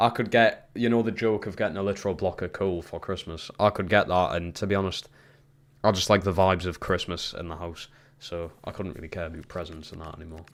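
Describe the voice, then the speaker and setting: A man with a Geordie accent, a very deep, low pitch, fairly even intonation, big swings in loudness and a very fast pace, on a very clean recording with a silent background. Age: 20s. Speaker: gaming streamer. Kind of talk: casual chat. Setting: live stream.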